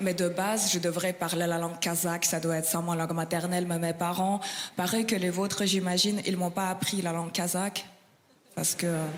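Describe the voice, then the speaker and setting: A woman's fairly low voice for a woman in a monotone, flat delivery at a moderate pace, with very even loudness and long, frequent pauses, amid audible room echo and crowd noise in the background. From Kazakhstan. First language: Russian (speaking French). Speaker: stand-up comedian. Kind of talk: stand-up.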